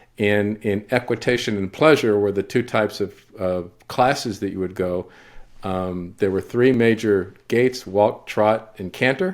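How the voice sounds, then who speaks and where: A man with a normal speaking voice talks at a fairly slow pace in a fairly low pitch with fairly even intonation, on a very clean recording with a silent background. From Texas, San Antonio. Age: 60s. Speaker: legacy interviewer, business owner. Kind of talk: casual interview conversation.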